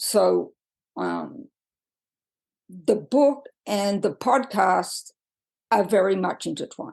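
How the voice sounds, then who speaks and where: A woman at a medium pitch speaks very slowly with long, frequent pauses, lively intonation and vocal fry. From Australia. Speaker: podcaster and author. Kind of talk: personal podcast monologue. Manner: hesitant, with frequent fillers.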